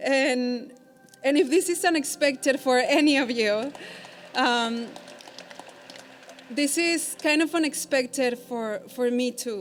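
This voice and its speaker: Very slow and broken by long, frequent pauses, a woman speaks at a high pitch with ordinary pitch variation. Noticeable background noise can be heard. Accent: Mexican. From Mexico. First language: Spanish. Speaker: law school graduate. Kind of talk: commencement speech. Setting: theater stage with audience.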